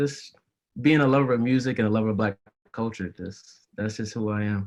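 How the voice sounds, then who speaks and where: A man talks at a fairly quick pace with fairly even intonation. His medium pitch sits in an ordinary speaking voice. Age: 20s. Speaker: college student and music fan. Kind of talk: casual podcast interview.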